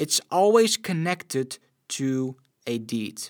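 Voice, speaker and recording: A man with a Dutch accent speaks at a very slow pace. His pitch swings very widely on a very clean recording with a silent background. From Netherlands. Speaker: preacher. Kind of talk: sermon.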